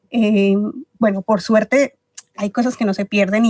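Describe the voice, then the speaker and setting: The sound is dry and close with no echo as a woman speaks fairly quickly at a medium pitch in a monotone, flat delivery. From Ecuador. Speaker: podcast guest, book club organizer. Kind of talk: interview.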